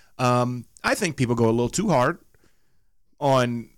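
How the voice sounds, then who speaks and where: Recorded very cleanly over a silent background, a man speaks with a Southern US accent. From US South. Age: 30s. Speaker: podcast co-host. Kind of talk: casual chat.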